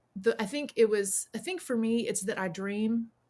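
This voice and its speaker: This very clean recording has a silent background. In it, a woman talks in a Southern US accent. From US South, South Carolina. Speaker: witch, priestess and author. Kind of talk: podcast interview. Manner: casual, with frequent fillers and restarts.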